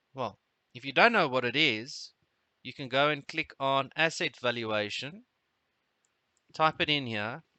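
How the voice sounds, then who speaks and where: A fairly slow pace with long, frequent pauses, in a South African accent, with big swings in loudness and ordinary pitch variation. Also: man, medium pitch for a man. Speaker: trading webinar host. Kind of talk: live trading webinar tutorial. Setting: live webinar. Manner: hesitant, many fillers.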